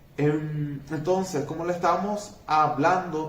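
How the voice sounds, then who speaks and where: A man's fairly high voice with ordinary pitch variation, noticeable background noise, and audible room echo. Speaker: teacher. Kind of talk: lecture. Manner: halting.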